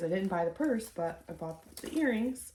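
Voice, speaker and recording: With noticeable background noise, a woman speaks with ordinary pitch variation. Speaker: online clothing reseller. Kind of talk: casual vlog narration. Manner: hesitant, many fillers.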